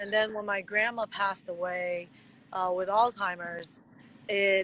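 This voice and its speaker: A woman's medium-pitched voice at a fairly slow pace, with fairly even intonation. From USA. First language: Mandarin Chinese. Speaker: pro wrestler. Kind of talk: interview.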